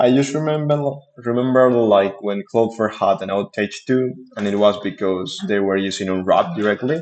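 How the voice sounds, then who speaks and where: A man with a non-native accent. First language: not English. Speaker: software developer streamer. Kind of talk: reading aloud with commentary. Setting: live stream. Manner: halting.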